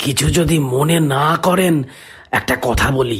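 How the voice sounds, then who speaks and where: In a put-on character voice, a man sounds raspy at a fairly high pitch and a fairly slow pace. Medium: read story. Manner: polite, probing.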